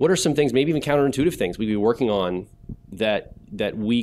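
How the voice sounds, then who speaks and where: A man speaks at a very fast pace. His intonation is lively. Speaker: event host. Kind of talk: panel Q&A discussion. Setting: stage with audience. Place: hall. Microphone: handheld.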